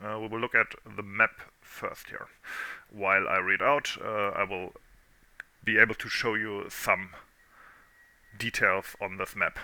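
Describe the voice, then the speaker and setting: There are long, frequent pauses as a man speaks at a fairly slow pace. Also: big swings in loudness. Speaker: history video creator. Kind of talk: informative commentary. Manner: monotone.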